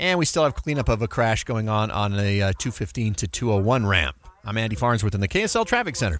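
A man with an unremarkable speaking voice, fairly low in pitch, with lively intonation. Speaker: radio traffic reporter. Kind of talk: live radio traffic report, rapid roundup of delays and crashes. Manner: brisk, clipped rundown of highways and interchanges; casual, conversational asides between road updates.

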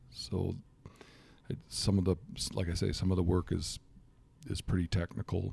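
In an American accent, a man with a very deep, low pitch and a dark, mellow tone speaks at a moderate pace with ordinary pitch variation, vocal fry and long, frequent pauses. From Michigan. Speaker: research ecologist and hunting advocate. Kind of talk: interview.

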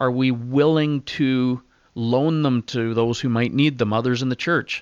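With a Canadian accent, a man speaks at a moderate pace in an ordinary speaking voice of medium pitch, the sound dry and close with no echo against a quiet background. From Ontario, Canada. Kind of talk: interview. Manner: casual, frequent filler words.

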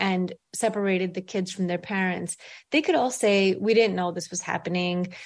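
A woman's medium-pitched voice in a New York accent, at a moderate pace with fairly even intonation. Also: very clean recording, silent background. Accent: New York American English. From grew up in Brooklyn, New York, immigrant. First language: not English. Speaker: author and newspaper columnist. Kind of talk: interview.

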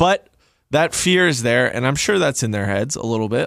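Lively intonation marks this man's normal speaking voice, which sits at medium pitch and moves at a moderate pace. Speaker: sports journalist, producer. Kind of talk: sports radio chat. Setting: studio. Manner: casual, uses filler words.

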